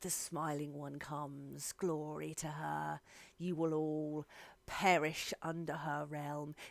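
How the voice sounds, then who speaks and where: A put-on character voice, raspy, low-to-middle in pitch, at a fairly slow pace. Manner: menacing, fanatical.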